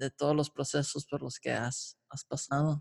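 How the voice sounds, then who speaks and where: A man speaks with a fairly high pitch and fairly even intonation. The sound is dry and close, with no echo. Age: 20s. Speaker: podcast host. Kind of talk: casual interview conversation.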